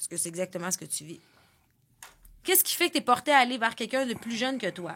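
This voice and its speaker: A woman with a Quebec accent speaks in a fairly high, bright, sharp voice, her pitch swinging very widely. Her loudness swings a lot, and she takes long, frequent pauses. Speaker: podcast host. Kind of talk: casual chat.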